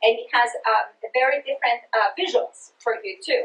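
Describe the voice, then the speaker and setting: Her pitch is fairly high and her intonation lively, with a Greek accent. This woman keeps a moderate pace. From Greece (Sparta, Peloponnese). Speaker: education researcher and trainer. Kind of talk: presentation to teachers. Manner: halting, many fillers; passionate.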